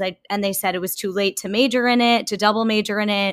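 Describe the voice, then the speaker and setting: A woman with an American accent speaks at medium pitch and a moderate pace, her tone bright and sharp but her intonation flat and monotone. The recording is very clean, with a silent background. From US, Long Island, New York. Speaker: self-care YouTuber and podcaster. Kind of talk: casual interview.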